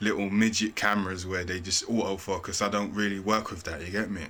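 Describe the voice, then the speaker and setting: With a London accent, a man speaks at a fairly low pitch and a very fast pace in a bright, sharp, monotone, flat delivery. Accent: London Multicultural English. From England. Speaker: YouTuber. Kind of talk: casual vlog talk. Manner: casual slangy.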